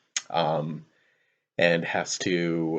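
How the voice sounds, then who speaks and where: A quiet man's voice. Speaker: teacher. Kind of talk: lecture. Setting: at home, late at night. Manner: quiet, low volume; hesitant with fillers.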